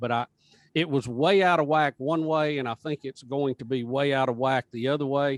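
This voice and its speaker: A man talks in an ordinary speaking voice at a moderate pace, fairly high in pitch and fairly even in intonation, the sound dry and close with no echo. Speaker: radio show host. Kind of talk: podcast interview answer.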